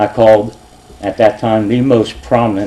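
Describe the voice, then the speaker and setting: A man's fairly low voice in an American accent, with fairly even intonation. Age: 60s. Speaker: retired police officer speaking at public meeting. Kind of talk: public comment at council meeting. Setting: council chambers with audience.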